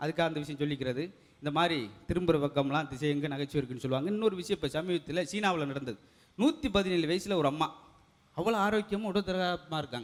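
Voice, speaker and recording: A man with lively intonation. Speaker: stand-up comedian performing a solo show. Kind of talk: stand-up comedy monologue to an audience.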